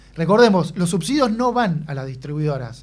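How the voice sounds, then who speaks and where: A man speaks at a moderate pace with a high pitch. Audible room echo surrounds his voice. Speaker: radio host. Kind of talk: radio interview.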